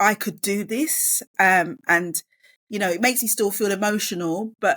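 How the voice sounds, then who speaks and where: A woman's fairly high voice at a moderate pace, with ordinary pitch variation and a dry, close sound with no echo. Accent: London. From East London. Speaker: author and education professional. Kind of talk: podcast interview. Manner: halting.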